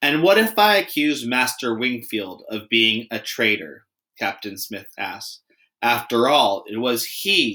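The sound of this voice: An unforced reading voice comes through over a quiet background.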